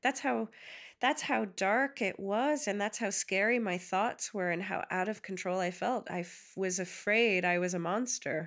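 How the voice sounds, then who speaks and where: A woman with a New York accent speaks at a fairly slow pace, with medium pitch and lively intonation. The recording is very clean, with a silent background. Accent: American, New York. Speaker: comedian. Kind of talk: interview.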